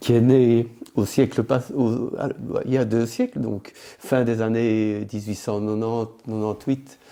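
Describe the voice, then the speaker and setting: This man talks. His pace is very slow. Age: 60s. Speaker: organic farmer. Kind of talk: interview conversation. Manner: halting, many hesitations.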